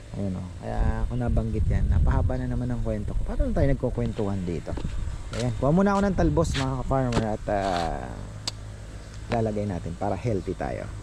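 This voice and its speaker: A man's very deep, low voice with very wide pitch swings and a fairly quick pace, plus noticeable background noise and audible room echo. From Bicol, Philippines. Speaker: gardening vlogger. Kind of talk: casual vlog narration.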